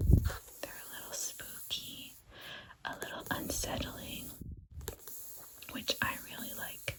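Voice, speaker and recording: Whispering comes at a very slow pace with long, frequent pauses. Noticeable background noise sits behind it. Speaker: ASMR creator. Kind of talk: ASMR whispered book show-and-tell. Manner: whispered.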